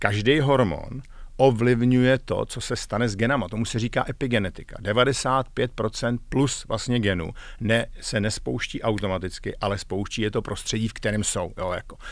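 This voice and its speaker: Over a quiet background, a man talks at a moderate pace with ordinary pitch variation. His voice sounds dry, with no echo. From Czechia. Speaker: executive coach, former tech manager; executive coach. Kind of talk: interview. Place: studio. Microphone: studio mic.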